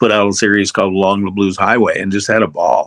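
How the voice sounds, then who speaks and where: A fairly low-pitched man at a very fast pace. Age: 70s. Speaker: voice actor and narrator. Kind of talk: interview. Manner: casual.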